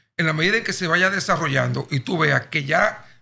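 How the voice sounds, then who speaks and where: A man's bright, sharp tone with vocal fry, ordinary pitch variation and a fairly quick pace. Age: 60s. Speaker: nationalist movement leader. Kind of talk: podcast interview.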